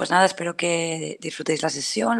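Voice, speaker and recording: With vocal fry, this woman's voice sits at a fairly low pitch. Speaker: cloud solutions architect. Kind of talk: technical talk.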